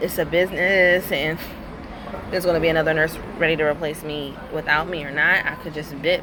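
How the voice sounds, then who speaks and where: With noticeable background noise and audible room echo, a woman speaks in a very deep, low voice with ordinary pitch variation. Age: 30s. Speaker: nurse. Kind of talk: casual vlog monologue.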